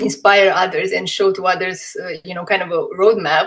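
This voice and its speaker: With a Romanian accent, a woman speaks at a medium pitch. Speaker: MS patient sharing her story. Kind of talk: testimony.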